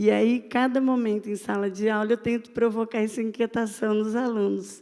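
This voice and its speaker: Speaking at a moderate pace, a woman of medium pitch has a dark, mellow tone. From Brazil, Minas Gerais. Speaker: university professor. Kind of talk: panel talk. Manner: halting, many fillers.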